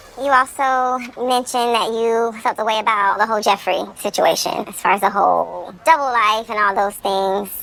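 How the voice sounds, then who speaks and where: A woman talks in a normal speaking voice at a fairly high pitch with fairly even intonation. She keeps a moderate pace with hardly any pauses. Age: young. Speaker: reality show contestant. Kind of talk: heated debate. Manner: assertive.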